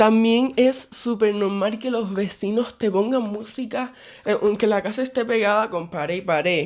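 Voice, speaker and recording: A man speaks softly at a moderate pace. His intonation stays fairly even. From Cuba. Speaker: vlogger. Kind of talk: casual vlog monologue. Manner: soft-spoken.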